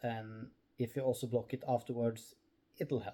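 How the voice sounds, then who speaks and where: Very slowly, a man talks in a dark, mellow tone. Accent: Norwegian. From Norway. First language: Norwegian. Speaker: crochet crafter. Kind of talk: tutorial. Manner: halting.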